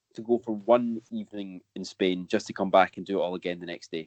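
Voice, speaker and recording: With a Scottish accent, a man talks at a fairly quick pace in a fairly low pitch, with fairly even intonation and a dry, close sound with no echo. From Scotland. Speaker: football podcast co-host. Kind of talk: casual chat.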